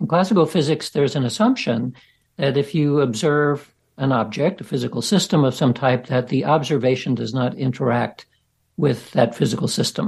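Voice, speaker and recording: A fairly high-pitched, somewhat breathy male voice with lively intonation at a moderate pace, over a quiet background. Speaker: scientist researcher. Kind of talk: interview conversation.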